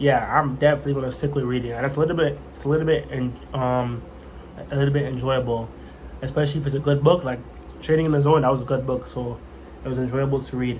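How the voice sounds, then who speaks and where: Amid noticeable background noise and audible room echo, a man talks very fast at a medium pitch. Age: 20s. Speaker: vlogger learning trading. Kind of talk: casual vlog monologue. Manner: halting, repetitive.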